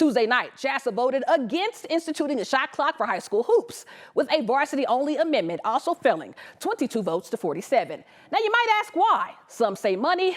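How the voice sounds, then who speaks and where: Against noticeable background noise, a woman speaks at a moderate pace in a high pitch. Her tone is animated, with very wide pitch swings. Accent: East Texas. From East Texas, Longview. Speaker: sports reporter. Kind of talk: sports highlights narration; live field report. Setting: arena, live broadcast.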